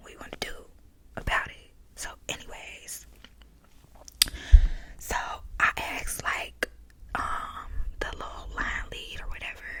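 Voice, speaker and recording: A woman whispering at a fairly slow pace amid noticeable background noise. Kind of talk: ASMR storytime, soft-spoken casual storytelling. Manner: soft-spoken, casual, conversational.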